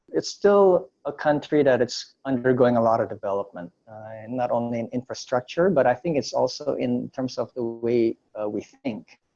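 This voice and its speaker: Recorded dry and close with no echo, a man with a medium-pitched, dark, mellow voice talks at a moderate pace with lively intonation and hardly any pauses. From Indonesia, raised in the US from age nine. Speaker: entrepreneur and former photojournalist. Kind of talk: interview.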